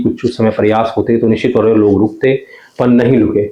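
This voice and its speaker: A man with a Garhwali accent, amid noticeable background noise. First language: Garhwali (speaking Hindi). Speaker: journalist. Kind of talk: interview.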